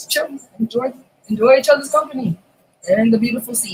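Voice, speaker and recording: A relaxed tone with an American accent at a fairly quick pace. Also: woman. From Massachusetts and Florida, USA. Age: 30s. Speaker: beauty vlogger. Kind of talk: casual talk to camera. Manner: chatty, relaxed.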